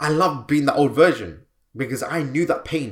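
A man's medium-pitched voice with vocal fry, animated and upbeat in tone, on a very clean recording with a silent background. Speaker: healer and coach podcast host. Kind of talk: guided meditation; motivational solo podcast talk. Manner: animated, upbeat, energetic.

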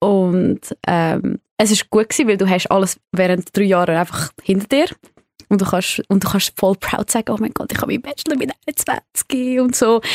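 Dry and close with no echo, a woman speaks at a moderate pace in a medium pitch with ordinary pitch variation and an ordinary speaking voice. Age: 20s. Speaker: hospitality worker, podcast guest. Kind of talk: casual chat.

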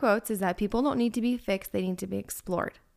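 This woman's voice sits fairly high, with lively intonation. She talks at a very fast pace. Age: 30s. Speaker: podcast co-host. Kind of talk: casual chat.

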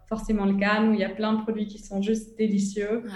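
Monotone, flat intonation with audible room echo. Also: woman. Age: 20s. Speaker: entrepreneur. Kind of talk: interview. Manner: halting.

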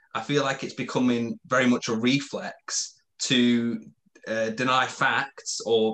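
A man with a British accent speaks at medium pitch. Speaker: podcast co-host. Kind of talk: interview. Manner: halting.

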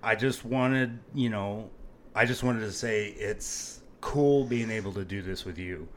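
A man with an American accent speaks in a plain, everyday voice, at a fairly slow pace and medium pitch. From Phoenix, Arizona. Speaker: podcast co-host. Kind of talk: casual chat.

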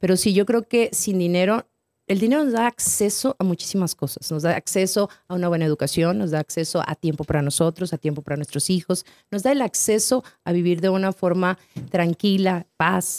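A woman's medium-pitched, an ordinary speaking voice, with ordinary pitch variation, a fairly quick pace and a dry, close sound with no echo. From northern Mexico (Torreón). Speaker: financial advisor and author. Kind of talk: casual interview chat.

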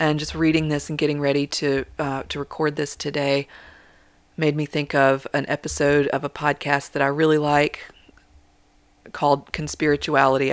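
Speaking in a soothing, calm tone, a woman uses a very deep, low pitch with monotone, flat intonation. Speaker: meditation guide. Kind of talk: guided meditation. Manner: slow, soothing, calm; gentle, measured.

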